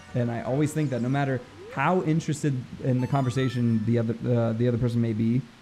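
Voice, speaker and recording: With music in the background, a man at medium pitch speaks at a very fast pace with fairly even intonation. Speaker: gaming comedy podcast co-host. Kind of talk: casual chat over gameplay.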